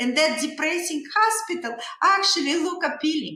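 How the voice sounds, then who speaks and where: With a Russian accent, a woman speaks in a raised, projected voice at a moderate pace, her bright, sharp tone moving through very wide pitch swings amid audible room echo. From Russia, Saint Petersburg. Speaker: dentist. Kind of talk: interview storytelling. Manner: halting, many fillers.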